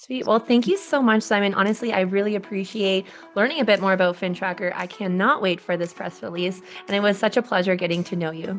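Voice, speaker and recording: Over music in the background, a woman with a medium-pitched voice talks at a very fast pace. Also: ordinary pitch variation. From Canadian East Coast. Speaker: podcast host and realtor. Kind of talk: podcast interview.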